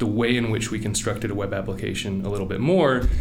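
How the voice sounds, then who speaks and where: A man's medium-pitched voice with an American accent at a very fast pace, with audible room echo and music in the background. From Virginia, Richmond and Appalachia. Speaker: tech executive, machine learning lead. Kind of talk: interview. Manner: halting, frequent repeated words.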